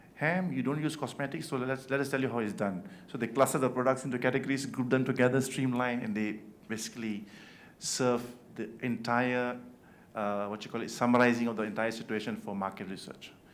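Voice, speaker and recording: Audible room echo surrounds a man speaking at a fairly quick pace and a medium pitch. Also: ordinary pitch variation. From Malaysia. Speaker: event organizer. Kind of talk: awards welcome speech. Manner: fast.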